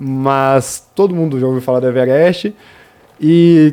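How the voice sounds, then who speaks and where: A man is speaking. His tone is dark and mellow. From Brazil, interior of Rio de Janeiro state. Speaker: mountaineer. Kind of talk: radio interview.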